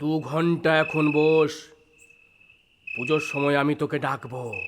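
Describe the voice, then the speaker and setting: Putting on a character voice, a man speaks at a fairly slow pace, his pitch fairly high and his intonation monotone and flat. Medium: audio drama. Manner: brusque, commanding.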